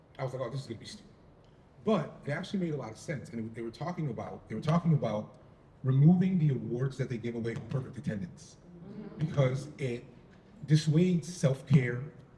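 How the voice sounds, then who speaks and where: Talking at a very fast pace, a man uses a medium pitch and a dark, mellow, somewhat breathy tone. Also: lively intonation. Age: 50s. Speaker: parent panelist. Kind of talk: panel discussion.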